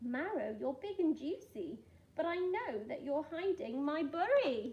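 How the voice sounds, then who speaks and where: Using a put-on character voice, a woman growls at a high pitch and a fairly slow pace. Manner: snarling; menacing.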